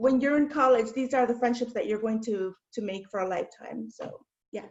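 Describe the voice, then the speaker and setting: A woman's voice at a fairly quick pace, with ordinary pitch variation. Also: fairly high pitch for a woman. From Chicago southwest side, Mexican-American family. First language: Spanish. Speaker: diversity and inclusion administrator. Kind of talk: casual chat.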